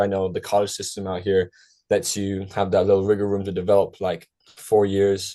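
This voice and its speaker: A man with an American accent talks at a fairly quick pace in a fairly low, dark, mellow voice. The background is quiet. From Ireland, County Kerry. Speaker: college soccer player. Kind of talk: podcast interview. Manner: casual, many filler words.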